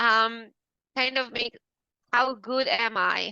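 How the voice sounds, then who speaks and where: A woman talks at a very slow pace. She has a non-native accent. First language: not English. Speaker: business coach. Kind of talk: coaching demo.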